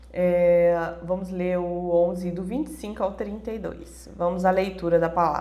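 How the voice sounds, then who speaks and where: A woman speaks in a strained, monotone, flat voice with big swings in loudness. Noticeable noise runs in the background. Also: fairly low pitch for a woman, fairly slow pace, hardly any pauses. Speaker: Bible devotional teacher. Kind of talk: devotional Bible teaching. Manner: moderate, restrained pace.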